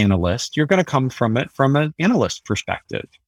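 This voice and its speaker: A man with a Californian accent at a medium pitch and moderate pace, on a very clean recording with a silent background. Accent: General American (Californian). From US West Coast (San Francisco Bay Area). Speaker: tech company CEO and author. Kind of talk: interview.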